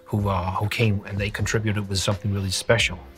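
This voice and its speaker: A man with a fairly low pitch talking at a very fast pace over music in the background. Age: 40s. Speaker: graffiti artist. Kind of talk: interview. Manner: halting.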